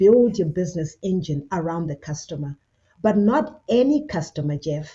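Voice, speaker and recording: Her voice is somewhat breathy and fairly low for a woman. She talks at a moderate pace with lively intonation. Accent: Zimbabwean. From Zimbabwe. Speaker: business consultant with a doctorate. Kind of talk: interview.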